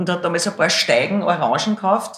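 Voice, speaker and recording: In a Viennese accent, a woman talks at a fairly quick pace with a medium pitch. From Lower Austria, Hainburg and Schwechat near Vienna. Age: 50s. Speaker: singer. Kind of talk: casual interview. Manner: loud.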